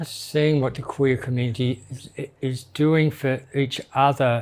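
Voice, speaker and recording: A man at a medium pitch, in an Australian accent, at a fairly slow pace. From Australia, Melbourne. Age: 60s. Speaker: drag queen. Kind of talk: interview. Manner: halting.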